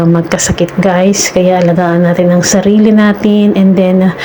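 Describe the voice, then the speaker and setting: A woman speaks at a fairly slow pace with a medium pitch. Noticeable background noise runs behind her. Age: middle-aged. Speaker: overseas domestic worker vlogger. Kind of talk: casual vlog talk. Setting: in a toilet. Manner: hesitant, many fillers; quiet, hushed.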